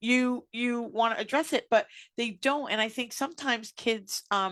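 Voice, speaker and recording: Loud and animated, a woman talks with fairly high pitch and a bright, sharp tone. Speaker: radio show host. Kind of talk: casual chat.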